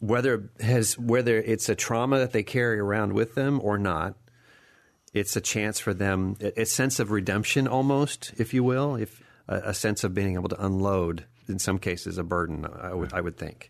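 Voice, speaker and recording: At a moderate pace, a man with an ordinary speaking voice and fairly low pitch talks with ordinary pitch variation against a quiet background. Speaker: radio host. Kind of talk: interview. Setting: studio.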